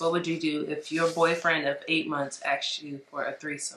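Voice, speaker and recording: A woman with an American accent speaks at a fairly quick pace in a fairly low pitch, with noticeable background noise. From US, Chicago. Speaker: relationship advice vlogger. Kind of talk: casual chat.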